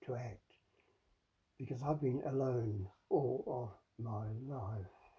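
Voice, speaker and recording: This man's voice sits at a medium pitch with ordinary pitch variation, a dark, mellow tone and some breathiness. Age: old. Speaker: father confronting his adult child. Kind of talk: heated one-sided confrontation. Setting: in the listener's bedroom. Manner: halting, with many stammered repetitions.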